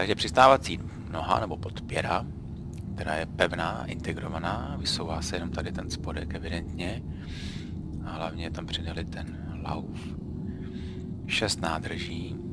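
The delivery is fairly slow, broken by long, frequent pauses. The sound is dry with no echo, under loud background noise. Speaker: gamer. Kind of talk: casual gameplay commentary. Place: home room.

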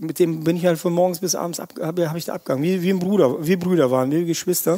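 A man's high voice, very fast and animated in tone. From Russia, moved to Erkelenz area at nine. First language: Russian (speaking German). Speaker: chef. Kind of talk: podcast interview. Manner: animated, colloquial.

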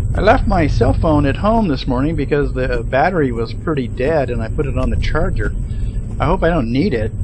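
Background noise is noticeable while a man talks fairly quickly. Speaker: vlogger. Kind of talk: casual vlog chat. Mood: relaxed, later slightly worried. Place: car. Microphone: phone near.

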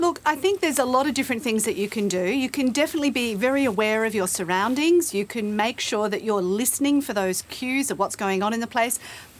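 In an Australian accent, a woman with a fairly high pitch races along at a very fast pace, her intonation lively and her speech almost without pauses. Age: middle-aged. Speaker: career expert; guest. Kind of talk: TV interview. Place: studio.

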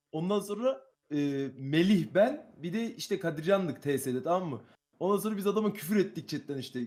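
A man's high-pitched voice with lively intonation. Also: moderate pace. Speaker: streamer. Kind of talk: casual chat.

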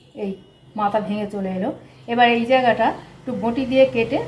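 Light background noise sits behind a woman speaking with ordinary pitch variation. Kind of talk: cooking tutorial. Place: kitchen.

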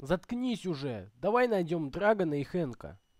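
Moderately paced speech in a put-on character voice, pitched in the middle range. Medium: machinima. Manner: enthusiastic, a bit defensive.

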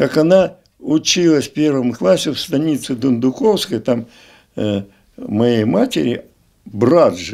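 Against a quiet background, a man speaks very slowly at a medium pitch in a dark, mellow tone, with very wide pitch swings and long, frequent pauses. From southern Russia, Adygea; southern Russia. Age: 80s+. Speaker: retired school director; interviewee. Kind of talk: interview reminiscence. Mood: reminiscing, conversational. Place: home room. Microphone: handheld.

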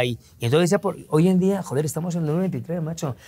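A man with a Madrid accent, fairly high in pitch, at a fairly quick pace. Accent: Castilian Spanish (Madrid). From Spain, Madrid. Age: 50s. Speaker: interview guest, journalist. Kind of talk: interview. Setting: hotel recording studio. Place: studio. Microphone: lapel.

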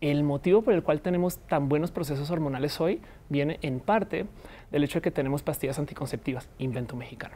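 This woman has a very deep, low pitch and a dark, mellow tone. She talks very fast with ordinary pitch variation. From Colombia, Bogotá. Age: 40s. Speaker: communicator and comedian; comedian. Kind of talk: interview. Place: studio. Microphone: lapel.

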